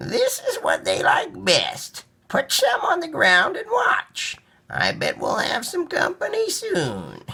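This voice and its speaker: Fairly slow speech in a put-on character voice. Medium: read story. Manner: gentle, patient.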